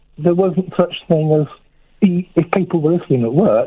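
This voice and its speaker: A man with a high pitch speaks at a moderate pace. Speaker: radio caller. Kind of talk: phone-in conversation. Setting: phone call.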